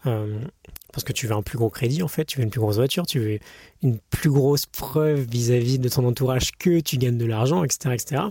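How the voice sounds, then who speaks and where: A medium-pitched, somewhat breathy male voice with a dark, mellow tone, a moderate pace and ordinary pitch variation, on a very clean recording with a silent background. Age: 20s. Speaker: podcaster, former engineer. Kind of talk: unscripted personal monologue. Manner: halting, many fillers and self-corrections.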